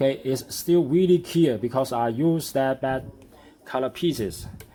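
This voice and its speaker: Ordinary pitch variation runs through a man's dark, mellow-toned voice. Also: medium pitch for a man, fairly slow pace. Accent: non-native. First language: not English. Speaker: hobbyist model builder. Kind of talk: tutorial. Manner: halting.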